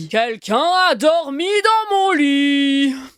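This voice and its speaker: Someone puts on a high-pitched character voice and speaks at a very slow pace. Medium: read story.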